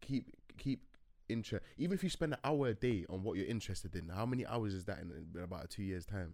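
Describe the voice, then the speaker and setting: A man talks in a London accent at a fairly quick pace. His intonation is lively. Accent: London English (multicultural London). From West London. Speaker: music engineer and producer. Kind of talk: casual chat. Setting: studio.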